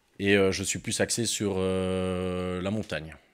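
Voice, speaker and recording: A man delivers his words in a very deep, low pitch with monotone, flat intonation. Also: very clean recording, silent background. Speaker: physical education teacher. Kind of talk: casual chat.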